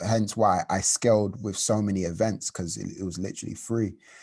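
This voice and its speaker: A man with a London accent speaks at a moderate pace, fairly low, in a dark, mellow tone. His intonation is fairly even, on a very clean recording with a silent background. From London, Hackney. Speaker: creative entrepreneur, events founder. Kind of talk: interview.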